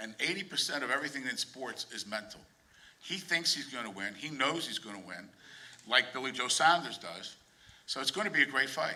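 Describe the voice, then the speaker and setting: Noticeable noise sits in the background. The voice carries an American accent. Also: man. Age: 60s. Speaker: boxing manager or promoter. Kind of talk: press conference remarks. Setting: press conference.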